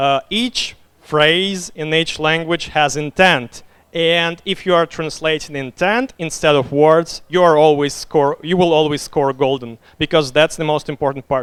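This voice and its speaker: Speaking fairly slowly in a Russian accent, a man uses a fairly high pitch with ordinary variation. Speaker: game designer. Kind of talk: conference talk Q&A. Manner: hesitant, many fillers.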